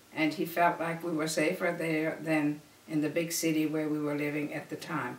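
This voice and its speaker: With a very deep, low pitch, a woman speaks at a moderate pace in a flat monotone, amid noticeable background noise and audible room echo. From Germany. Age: 70s. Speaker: family elder telling life story. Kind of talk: oral history interview.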